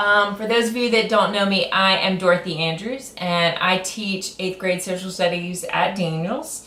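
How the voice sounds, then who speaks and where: A woman talks at a moderate pace with hardly any pauses and ordinary pitch variation over noticeable background noise. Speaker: middle school teacher. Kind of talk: grant request presentation. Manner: loud; hesitant, many fillers.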